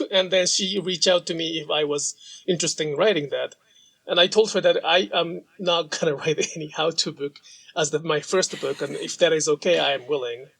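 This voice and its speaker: Speaking at a fairly quick pace in a Japanese accent, the man has a high pitch and ordinary pitch variation. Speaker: sashiko practitioner and author. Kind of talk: interview conversation.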